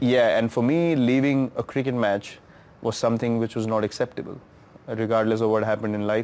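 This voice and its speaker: A man's fairly quick speech, with fairly even intonation and very even loudness. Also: medium pitch for a man. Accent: Indian. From India. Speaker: cricketer. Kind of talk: interview answer. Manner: reflective, emotional.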